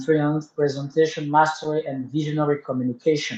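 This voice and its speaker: This man speaks at a fairly quick pace in a French accent, his pitch fairly high and his intonation monotone and flat. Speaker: toastmasters club member. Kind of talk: tutorial. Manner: halting.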